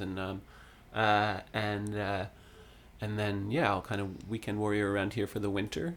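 A man with a Canadian accent talks at a moderate pace in a fairly low pitch, using fairly even intonation and an unremarkable speaking voice. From Ontario, Canada (Sutton). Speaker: singer-songwriter. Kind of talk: casual interview chat. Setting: studio.

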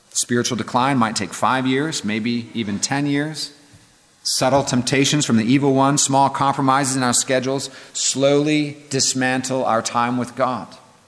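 Monotone, flat male speech in an American accent, medium in pitch and moderate in pace, over noticeable background noise. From Northern California. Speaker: pastor. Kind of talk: lecture.

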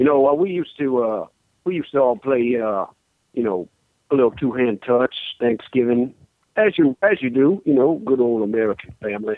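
Here a man speaks with a Southern US accent. His intonation is lively. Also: medium pitch for a man. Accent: Southern US, exaggerated drawl. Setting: phone call. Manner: formal, courtly, flowery.

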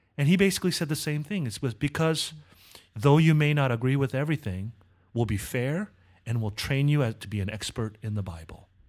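A man speaks at a fairly quick pace with lively intonation and a Californian accent, his pitch fairly high. The recording is very clean with a silent background. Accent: American (California). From Southern California (Korean American). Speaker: seminary professor. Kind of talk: interview.

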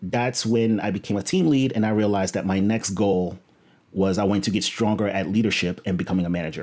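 A man's fairly low, normal speaking voice at a fairly quick pace, with ordinary pitch variation, on a very clean recording with a silent background. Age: 30s. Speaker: engineering director and coding bootcamp instructor. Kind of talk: interview.

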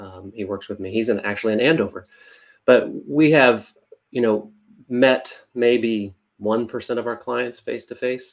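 The speaker has a normal speaking voice and an American accent at a fairly slow pace. The loudness swings widely. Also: man, medium pitch for a man, ordinary pitch variation. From central Kansas and Nebraska small towns. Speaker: insurance agency founder. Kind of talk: interview.

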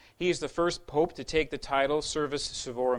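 A man delivers his words fairly quickly, his pitch varying in an ordinary way. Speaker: lecturer. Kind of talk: lecture. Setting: live lecture with audience. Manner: fast talker.

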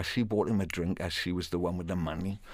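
In a very clean recording with a silent background, a man speaks with a Welsh accent. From Wales. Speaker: professional storyteller. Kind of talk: radio interview; storytelling performance.

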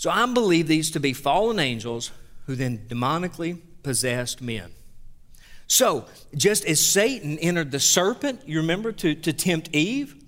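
A Southern US accent at a moderate pace, with very wide pitch swings, on a very clean recording with a silent background. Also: man, fairly high pitch for a man. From US South. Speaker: pastor. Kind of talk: sermon. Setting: church.

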